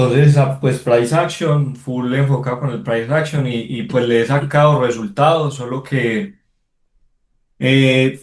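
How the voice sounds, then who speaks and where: Somewhat breathy and medium-pitched, a man talks at a fairly slow pace with ordinary pitch variation. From Colombia, Pereira. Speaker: trader participant. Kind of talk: casual chat.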